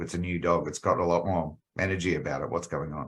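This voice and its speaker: Recorded very cleanly against a silent background, a man with an Australian accent talks at a fairly quick pace. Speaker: animal health company executive. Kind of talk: podcast interview.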